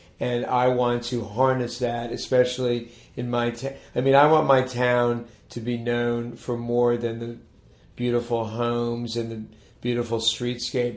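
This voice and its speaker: A man with an American accent speaks at a fairly slow pace. His intonation is flat and monotone, and the room echo is audible. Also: medium pitch for a man. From Maryland, Montgomery County. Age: 60s. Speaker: town mayor. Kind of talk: interview. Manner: halting, many restarts.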